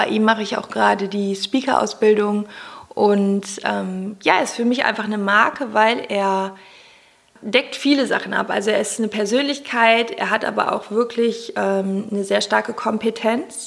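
Over noticeable background noise, a woman talks at a fairly high pitch with fairly even intonation. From Germany, Cologne. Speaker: personal development coach and podcaster. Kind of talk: interview.

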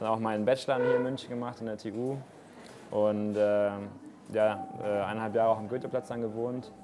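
A man speaks at a moderate pace with a medium pitch and a flat, monotone delivery. Long pauses come often, and there is noticeable background noise. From Munich, Bavaria. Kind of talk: interview. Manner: casual.

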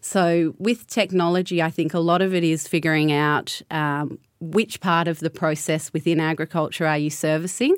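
With an Australian accent, a woman talks at a moderate pace with hardly any pauses. Her fairly low pitch holds fairly even intonation on a very clean recording with a silent background. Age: 30s. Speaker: winemaker and consultant. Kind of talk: panel discussion.

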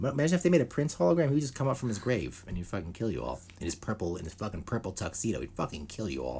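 This man speaks very fast with hardly any pauses, his fairly low, dark, mellow voice showing vocal fry and very wide pitch swings. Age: 40s. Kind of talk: casual chat.

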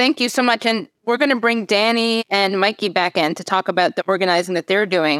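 A woman's medium-pitched voice at a fairly quick pace, with hardly any pauses, ordinary pitch variation and a very clean recording with a silent background. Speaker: podcast host. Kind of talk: interview. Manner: enthusiastic.

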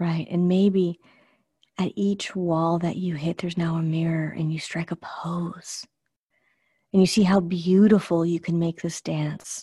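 In a dry, close sound with no echo and a quiet background, a woman speaks fairly slowly at a fairly low pitch, her tone dark, mellow, gentle and soothing, somewhat breathy, with monotone, flat intonation. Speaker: meditation guide. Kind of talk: guided meditation. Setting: live group call. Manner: slow, soothing, calm and unhurried; gentle, dreamy with pauses.

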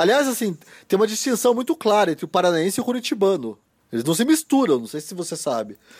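At a very fast pace, a man speaks in a high pitch with very wide pitch swings. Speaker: podcast co-host and novelist. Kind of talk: casual chat. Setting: Skype call.

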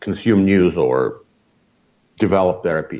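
This man speaks in a Russian accent at a fairly slow pace. His intonation is lively. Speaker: media scholar, senior fellow. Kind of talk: interview.

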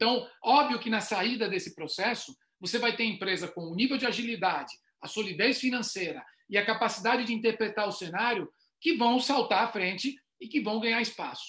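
A man with a high pitch and a bright, sharp tone speaks at a fairly quick pace with ordinary pitch variation. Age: 50s. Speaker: retail consultant. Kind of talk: online panel discussion.

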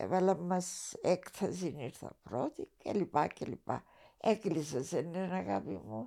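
A woman speaks fairly slowly at a fairly low pitch, with vocal fry, a dark, mellow tone, and lively intonation. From Cyprus. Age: 80s+. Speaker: retired TV writer and director. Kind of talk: interview.

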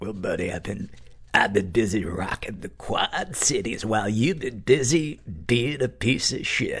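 Using a put-on character voice, a man of medium pitch speaks at a fairly slow pace with hardly any pauses over light background noise. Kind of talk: brash radio patter. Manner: mean, insulting.

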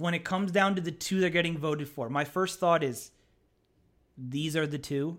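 In an American accent, a man speaks at a fairly high pitch and moderate pace in an animated tone, on a very clean recording with a silent background. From Pennsylvania, US. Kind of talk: casual chat. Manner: jokey, animated.

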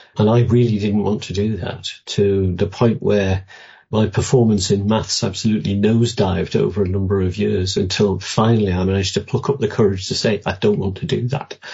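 Somewhat breathy, a man talks at a fairly quick pace with hardly any pauses, fairly even intonation and a fairly low pitch. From northern England, Newcastle. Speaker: retired doctor and public health investigator. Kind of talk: interview. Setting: remote line.

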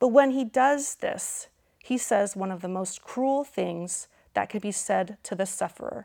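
A woman with an unremarkable speaking voice and medium pitch speaks at a fairly slow pace on a very clean recording with a silent background. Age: 30s. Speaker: speaker and biblical counselor. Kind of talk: lecture.

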